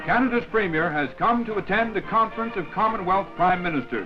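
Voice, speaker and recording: A man at a fairly quick pace over music in the background. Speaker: newsreel narrator. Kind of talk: newsreel narration.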